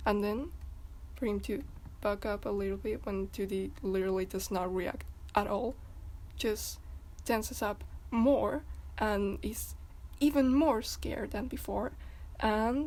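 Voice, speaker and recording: The delivery is at a fairly slow pace. Long, frequent pauses break it up. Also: woman. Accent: non-native. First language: not English. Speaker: fandom commentary youtuber. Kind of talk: casual video commentary. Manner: halting, many repetitions and fillers.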